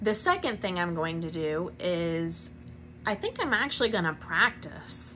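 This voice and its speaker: With a bright, sharp tone, a woman speaks at medium pitch and a moderate pace, using ordinary pitch variation. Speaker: small business owner, vlogger. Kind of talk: casual vlog monologue. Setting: home recording to camera. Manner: uses filler um.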